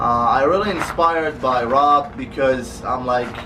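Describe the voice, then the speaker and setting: A man speaks with fairly even intonation. Audible room echo and noticeable background noise surround him. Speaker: car vlogger. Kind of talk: casual vlog. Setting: garage. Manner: fast.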